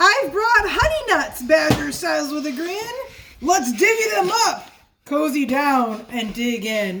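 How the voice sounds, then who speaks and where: This put-on character voice is high-pitched, moves at a fairly slow pace, and swings very widely in pitch. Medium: read story. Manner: grinning, friendly.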